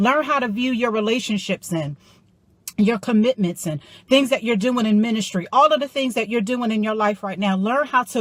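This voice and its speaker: A woman's somewhat breathy, animated voice, fairly high in pitch, with ordinary pitch variation, a moderate pace, and a very clean recording over a silent background. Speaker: motivational life coach. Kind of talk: motivational talk.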